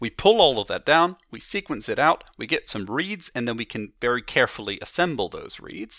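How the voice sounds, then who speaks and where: On a very clean, dry, close recording with no echo and a silent background, a man with a fairly high pitch and a bright, sharp tone talks at a fairly quick pace with very wide pitch swings and hardly any pauses. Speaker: zoologist and museum curator. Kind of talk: interview.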